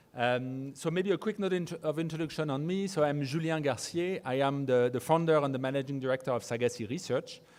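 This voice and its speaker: Moving at a fairly quick pace, a man talks with a fairly high pitch and ordinary pitch variation. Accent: French. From France. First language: French. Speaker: research firm founder, conference speaker. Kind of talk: conference presentation. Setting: conference stage with audience. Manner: halting, many fillers and repetitions.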